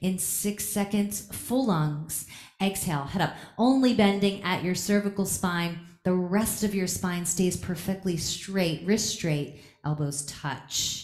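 A woman at a very slow pace with ordinary pitch variation, over a quiet background with audible room echo. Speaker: yoga teacher. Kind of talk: live yoga class instruction. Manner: commanding, rhythmic counting. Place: gym.

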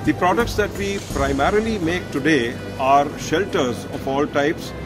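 Fairly slow speech from a man over clear background music. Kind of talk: interview answer. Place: hall. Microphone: phone near.

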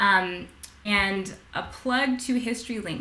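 A woman speaks over light background noise. Some room echo can be heard. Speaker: webinar host for heritage organization. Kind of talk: event host welcome remarks. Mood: warm, grateful.

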